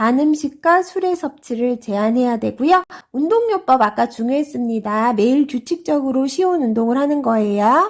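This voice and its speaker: A woman's high-pitched voice swings very widely in pitch at a fairly slow pace. The recording is very clean, with a silent background. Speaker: exam prep instructor. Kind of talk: lecture.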